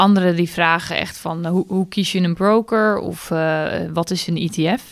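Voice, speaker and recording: In an ordinary speaking voice, a woman with a fairly low pitch speaks at a fairly slow pace and fairly even intonation on a very clean recording with a silent background. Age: 20s. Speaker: finance blogger. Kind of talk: casual chat.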